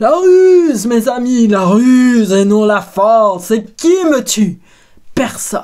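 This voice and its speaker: A loud, put-on character voice, fairly high in pitch and at a fairly slow pace. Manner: cunning, mocking.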